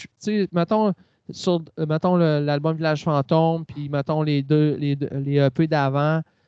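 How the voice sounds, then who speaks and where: This man speaks very slowly in a Quebec accent at a fairly high pitch. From Quebec, Quebec City area. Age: 40s. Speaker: singer-songwriter. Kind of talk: interview.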